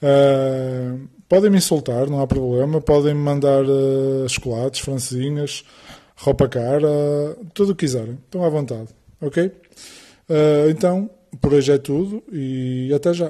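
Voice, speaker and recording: A man with a northern Portuguese accent speaks at a fairly slow pace, his fairly high pitch rising and falling in an ordinary way. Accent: northern Portuguese (Porto), b for v. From Portugal, Porto. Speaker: personal trainer, podcaster. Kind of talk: podcast monologue. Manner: hesitant, many fillers and repetitions.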